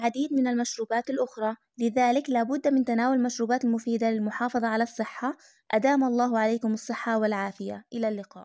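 On a very clean recording with a silent background, a woman with a Palestinian accent speaks at a fairly quick pace in a fairly high pitch, with a dark, mellow tone, monotone, flat intonation and very even loudness. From Palestine. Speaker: YouTuber. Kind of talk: informational talk.

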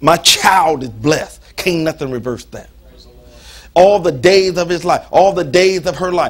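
A man's high-pitched, animated voice with ordinary pitch variation. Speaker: preacher. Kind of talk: sermon. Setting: church. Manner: animated, call-and-response style, preaching with humor and emphasis. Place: church.

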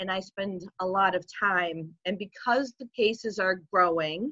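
Against a quiet background, a woman speaks in a bright, sharp tone with ordinary pitch variation and a dry sound with no echo. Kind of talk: interview answer. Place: home room. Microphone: video call.

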